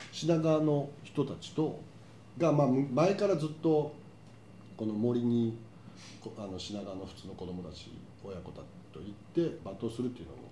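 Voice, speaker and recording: With audible room echo, a man of medium pitch speaks at a moderate pace, using long, frequent pauses, big swings in loudness and very wide pitch swings. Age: 50s. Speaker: podcast host. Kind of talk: casual chat.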